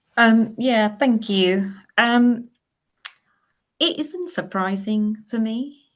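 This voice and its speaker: A woman's fairly high, somewhat breathy voice, with ordinary pitch variation, a very slow pace and long, frequent pauses. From Maldives. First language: not English. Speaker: climate charity executive. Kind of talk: panel discussion. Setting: webinar.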